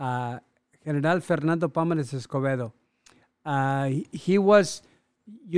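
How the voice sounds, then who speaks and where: Speaking at a moderate pace with a Spanish accent, the man leaves long, frequent pauses. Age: 60s. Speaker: clothing business owner. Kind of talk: casual interview. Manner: halting, repeats words.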